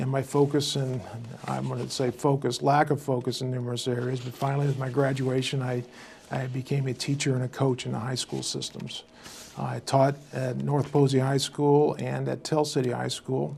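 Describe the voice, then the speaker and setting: A man's medium-pitched voice at a moderate pace, monotone and flat in intonation, with noticeable background noise. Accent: Midwestern American. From US Midwest, southern Indiana. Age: 60s. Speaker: local election candidate. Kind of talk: interview. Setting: studio. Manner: hesitant, many fillers.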